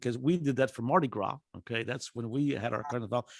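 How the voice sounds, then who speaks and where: With an Azorean accent, a man speaks at a fairly quick pace. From Azores, Portugal. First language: Portuguese. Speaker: professor. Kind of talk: presentation. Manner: halting with many fillers.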